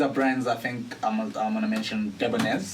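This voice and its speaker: Noticeable background noise and audible room echo surround a man speaking at a moderate pace in a medium-pitched voice. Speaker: voice-over artist and actor. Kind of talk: casual podcast interview. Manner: animated.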